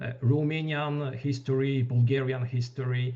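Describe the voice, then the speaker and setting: A man with a Polish accent speaks at a moderate pace and medium pitch. His voice is somewhat breathy, with monotone, flat intonation. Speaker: wargame reviewer. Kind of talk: panel discussion. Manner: halting.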